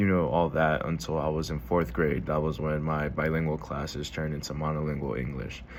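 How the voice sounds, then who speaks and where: A man's very deep, low voice carries audible room echo. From Houston, Texas (Alief). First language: Spanish. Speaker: student vlogger. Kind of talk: casual monologue vlog. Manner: informal, many fillers.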